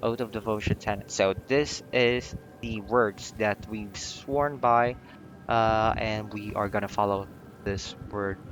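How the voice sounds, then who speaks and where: Over background music, the speaker talks at a very slow pace with fairly even intonation. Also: man. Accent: non-native. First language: not English. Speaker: video game player. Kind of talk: casual gameplay commentary. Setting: home recording, poor mic.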